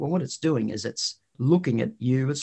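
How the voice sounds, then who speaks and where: Lively intonation at a fairly quick pace, in an Australian accent. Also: man. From Queensland, Australia. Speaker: think tank founder. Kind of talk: interview.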